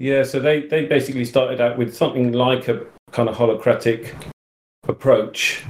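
A man with an English accent, at a fairly quick pace and fairly even intonation, with audible room echo. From England. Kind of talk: casual chat. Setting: live audio room, called on stage. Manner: halting.

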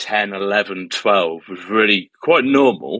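A man speaking at a very slow pace, the sound dry and close with no echo. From Cheshire, near Stoke-on-Trent, England. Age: 20s. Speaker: jazz musician. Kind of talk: casual interview, personal testimony.

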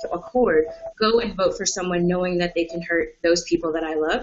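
Over noticeable background noise, a woman speaks at a fairly quick pace with medium pitch and ordinary pitch variation. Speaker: history PhD student. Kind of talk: panel discussion. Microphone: spotty internet connection.

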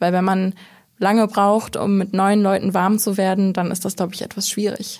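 A woman talks at a moderate pace with a medium pitch. Her intonation is monotone and flat. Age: 20s. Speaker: trainee in publishing. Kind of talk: casual interview.

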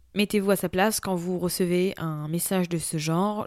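This is a woman's voice, pitched in the medium range. The intonation is fairly even throughout. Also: very clean recording, silent background. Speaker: personal development podcast host. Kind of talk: solo podcast monologue. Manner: unscripted, conversational.

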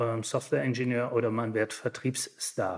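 He is a man who speaks with fairly even intonation. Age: 50s. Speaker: managing director of an industry association. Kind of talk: interview. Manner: hesitant, many filler sounds.

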